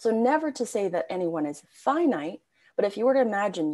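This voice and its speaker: With an ordinary speaking voice and lively intonation, a woman talks at a moderate pace. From Canada. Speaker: spiritual coach. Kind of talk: podcast interview. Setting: video call.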